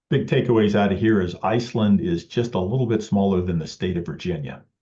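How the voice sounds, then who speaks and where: An American accent marks this somewhat breathy voice. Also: man. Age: 60s. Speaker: amateur photographer. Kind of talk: club presentation. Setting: club meeting with audience. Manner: halting, many fillers.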